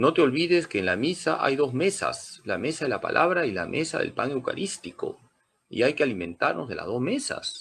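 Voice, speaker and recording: A man talks at a moderate speed, his pitch swinging very widely and his voice showing vocal fry. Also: fairly high pitch for a man. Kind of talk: catechism lecture. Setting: church sanctuary.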